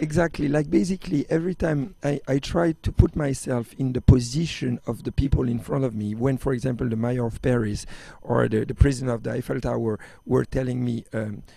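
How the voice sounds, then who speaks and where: A man with a French accent speaks at a fairly quick pace, his medium-pitched voice dark and mellow in tone. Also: ordinary pitch variation. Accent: French, can't lose it. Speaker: extreme sports athlete and entrepreneur. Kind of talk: interview. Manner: halting, many fillers and restarts.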